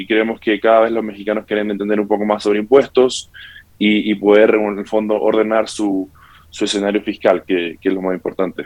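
A man talks at a fairly quick pace. His pitch is fairly low and his intonation monotone and flat. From Santiago, Chile. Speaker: tax tech company representative. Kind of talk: interview.

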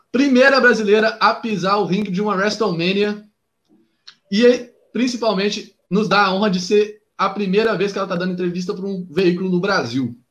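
This man's high pitch shows ordinary pitch variation. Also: moderate pace. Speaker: wrestling podcast host. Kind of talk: interview. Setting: video call.

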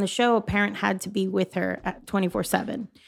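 A woman with an American accent talks on a very clean recording where the background is silent. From Miami, Florida. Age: 40s. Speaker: food truck owner. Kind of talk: casual chat.

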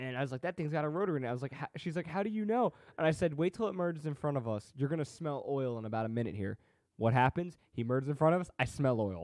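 The sound is dry and close, with no echo. A man speaks very fast with lively intonation. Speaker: guest. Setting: video call.

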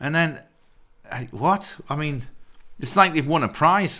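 A man's bright, sharp tone with lively intonation at a moderate pace. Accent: English. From England. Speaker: actor and producer. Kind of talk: casual chat.

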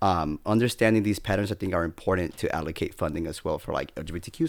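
In an American accent, a man talks at a fairly quick pace and a fairly low pitch, with an unremarkable speaking voice. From California, San Bernardino. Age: young. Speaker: state senate communications staffer. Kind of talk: casual chat.

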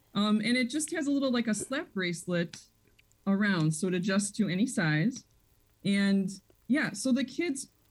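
A woman speaks at a moderate pace with a medium pitch and lively intonation, her voice somewhat breathy. The recording is very clean, with a silent background. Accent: American. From Chicago area (Des Plaines). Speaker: school principal. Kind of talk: radio interview.

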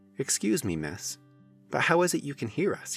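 Faint music plays behind a man doing a squeaky, put-on character voice at a fairly high pitch and a moderate pace. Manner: polite, curious.

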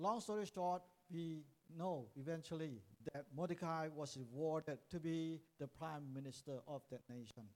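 A fairly high-pitched man at a fairly slow pace, with ordinary pitch variation. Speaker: preacher. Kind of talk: sermon, English preaching, paused for line-by-line interpretation into Cantonese. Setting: church with live interpreter. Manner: animated, exhortative, call-and-response with congregation.

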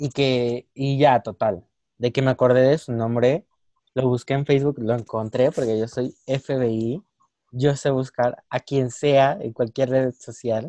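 The voice has a dark, mellow tone and fairly even intonation, moving at a very slow pace in a dry, close sound with no echo. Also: man, medium pitch for a man. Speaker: podcast co-host. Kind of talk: casual chat. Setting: video call.

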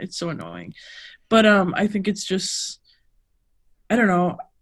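A woman's somewhat breathy voice. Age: 30s. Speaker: weightlifter and former college thrower. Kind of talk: casual interview chat.

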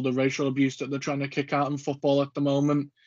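Fairly high in pitch, a man talks with a slight Scouse accent. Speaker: podcast host. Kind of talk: casual chat.

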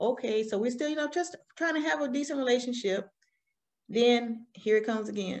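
With a Southern US accent, a woman talks at a fairly quick pace in a high pitch with lively intonation. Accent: Southern US, country. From Alabama, US South. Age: 40s. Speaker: guest, business owner and army veteran. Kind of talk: personal storytelling interview. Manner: candid, conversational.

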